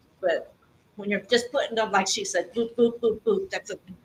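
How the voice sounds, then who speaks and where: The woman here speaks at a fairly high pitch. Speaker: public commenter at city meeting. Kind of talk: public comment. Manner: loud. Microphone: speaking without microphone.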